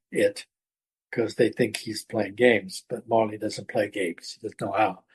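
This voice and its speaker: A man speaks in a somewhat breathy voice. His pitch shows ordinary variation. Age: 80s+. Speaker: author and retired educator. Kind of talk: interview conversation. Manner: halting, with fillers and repetitions.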